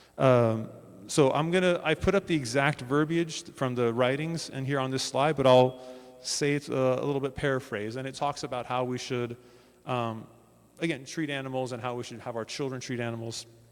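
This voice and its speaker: Over music in the background, a man speaks at a medium pitch with fairly even intonation and a fairly quick pace. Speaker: panelist presenting Baha'i views. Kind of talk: panel presentation. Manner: fast.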